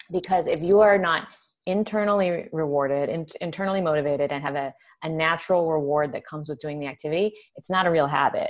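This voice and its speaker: A woman with an American accent, fairly low in pitch, with ordinary pitch variation and a very fast pace. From Southern California. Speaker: neuroscientist and food author. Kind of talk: casual interview chat.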